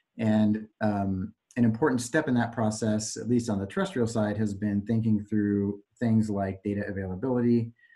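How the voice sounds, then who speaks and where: A man speaks in a plain, everyday voice at a fairly low pitch, moving at a moderate pace with fairly even intonation and hardly any pauses against a quiet background. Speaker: consultant project manager; presenter. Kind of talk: technical presentation. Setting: conference call. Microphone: video call.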